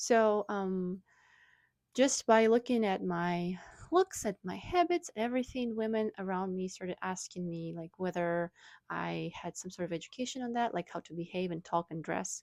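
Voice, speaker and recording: A woman with a Russian accent, big swings in loudness, a dry, close sound with no echo, and a very clean recording with a silent background. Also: medium pitch for a woman, ordinary pitch variation, moderate pace. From Russia (Moscow). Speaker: wellness blogger. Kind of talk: casual vlog talk. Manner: hesitant, many fillers.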